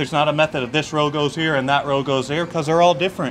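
A man with an American accent speaks at a very fast pace with fairly even intonation. Light background noise sits behind him. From eastern North Carolina. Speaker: pitmaster. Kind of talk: explanatory tour. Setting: outdoors. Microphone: camera far.

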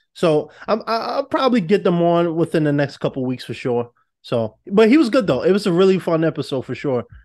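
Against a quiet background, a man speaks at a fairly quick pace in a high voice that moves through very wide pitch swings. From New York. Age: 20s. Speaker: podcast host. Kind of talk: casual chat. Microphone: studio mic.

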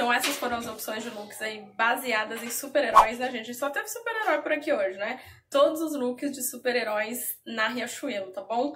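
A woman speaks at a high pitch and moderate pace. Her pitch varies in an ordinary way, with light background noise. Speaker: fashion vlogger. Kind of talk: casual vlog chat. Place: home room. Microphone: phone near.

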